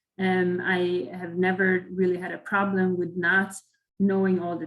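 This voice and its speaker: Medium pitch and somewhat breathy, from a woman. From Sweden. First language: Swedish. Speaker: chemical engineer at a company, career panelist. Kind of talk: online career webinar talk. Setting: video call. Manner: halting, many fillers and repetitions.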